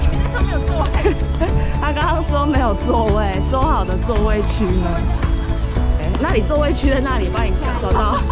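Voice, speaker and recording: Loud music plays in the background, and the sound is dry with no echo. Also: moderate pace. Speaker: vlogger filming. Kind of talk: casual vlog chat. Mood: playful, laughing. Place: street. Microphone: phone near.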